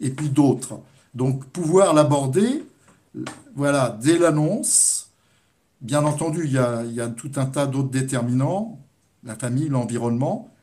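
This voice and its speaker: With a fairly high pitch, ordinary pitch variation and a dark, mellow, somewhat breathy tone, a man speaks at a fairly slow pace, leaving long, frequent pauses in audible room echo. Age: 60s. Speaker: patient association president. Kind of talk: webinar talk. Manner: halting.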